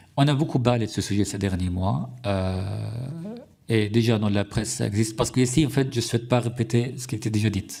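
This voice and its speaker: A fairly low-pitched, somewhat breathy man's voice with an Arabic accent, at a fairly quick pace with ordinary pitch variation, in a very clean recording with a silent background. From Syria. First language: Arabic (speaking French). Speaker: journalist. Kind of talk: testimony before a parliamentary committee. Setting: parliamentary hearing room. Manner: halting, many hesitations and restarts.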